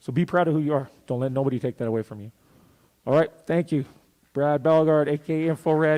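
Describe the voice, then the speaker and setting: With a dark, mellow tone, a man talks at a fairly quick pace using ordinary pitch variation. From Saskatchewan, Canada. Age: 40s. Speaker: rapper and youth mentor. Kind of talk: motivational talk to students. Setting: museum event with student audience. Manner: casual.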